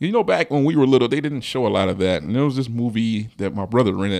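Lively intonation marks this man's medium-pitched delivery, a plain, everyday voice. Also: quiet background. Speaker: podcast host. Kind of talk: casual chat.

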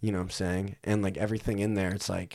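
Fairly low in pitch, this man has an unremarkable speaking voice. His intonation is fairly even. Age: 20s. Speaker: realtor. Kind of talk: casual chat.

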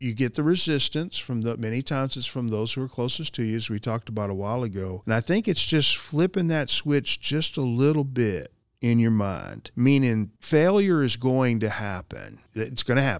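A man talks in a normal speaking voice at medium pitch, with lively intonation and hardly any pauses. His pace is moderate and the recording is very clean with a silent background. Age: 60s. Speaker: corporate training director. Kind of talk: casual chat.

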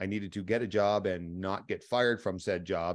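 Against a quiet background, a man with an unremarkable speaking voice talks with ordinary pitch variation. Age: 40s. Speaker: military warrant officer. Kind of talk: interview storytelling. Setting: remote recording.

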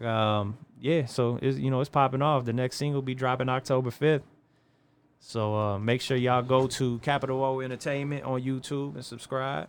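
His pace is fairly quick. The man's medium-pitched voice has fairly even intonation. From East Chicago, Indiana (US Midwest). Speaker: rapper and tattoo artist. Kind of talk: casual interview.

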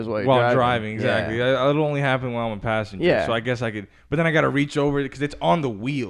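At a very fast pace with hardly any pauses, a man talks at medium pitch with ordinary pitch variation. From Long Island. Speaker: podcast co-host.

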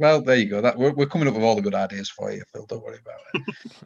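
This man has a Yorkshire accent and a medium pitch. His pitch swings very widely. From Yorkshire, England. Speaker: podcast host. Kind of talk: casual interview.

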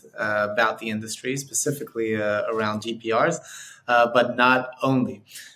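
Speaking at a fairly slow pace, a man uses a medium pitch and flat, monotone intonation over noticeable background noise. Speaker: podcast host. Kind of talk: casual interview.

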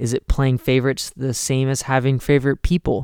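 A man's monotone, flat intonation at a moderate pace. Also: dry, close sound with no echo. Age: 20s. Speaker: youth pastor. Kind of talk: youth group talk. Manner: frequent filler words.

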